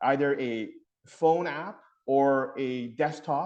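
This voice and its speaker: A man talks with ordinary pitch variation. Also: quiet background. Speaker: family physician. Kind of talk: webinar presentation. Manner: loud.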